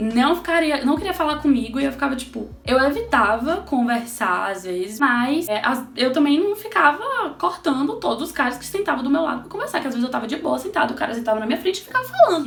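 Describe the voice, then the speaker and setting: A woman's high, animated voice with lively intonation, a fairly quick pace, hardly any pauses and big swings in loudness, amid audible room echo and noticeable background noise. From Brazil. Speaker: astrologer and holistic therapist, vlogger. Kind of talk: casual personal storytelling vlog.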